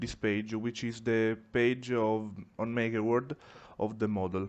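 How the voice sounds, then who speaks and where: A man talks at a fairly slow pace, his medium-pitched voice flat and monotone. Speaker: 3D printing maker, tutorial creator. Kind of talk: software tutorial. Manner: careful, deliberate.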